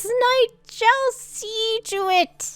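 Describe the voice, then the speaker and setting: Squeaky and extremely high in pitch, this put-on character voice is clearly an act. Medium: actual play. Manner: formal, speaks of himself in third person.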